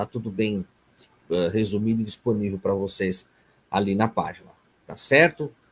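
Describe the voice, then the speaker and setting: A man with a fairly low pitch talks at a moderate pace, with ordinary pitch variation and long, frequent pauses. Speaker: psychoanalyst lecturer. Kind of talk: online lecture (webinar). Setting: video conference webinar.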